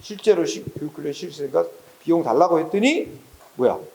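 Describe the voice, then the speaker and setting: A man talks with lively intonation. Noticeable background noise runs underneath. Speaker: exam prep law lecturer. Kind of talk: lecture. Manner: slow, unhurried; casual, conversational.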